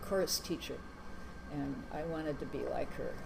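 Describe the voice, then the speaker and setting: With an American accent and fairly even intonation, a woman speaks amid noticeable background noise and audible room echo. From US Midwest, Madison, Wisconsin. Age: 70s. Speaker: interviewee. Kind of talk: life story interview. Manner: hesitant, many fillers.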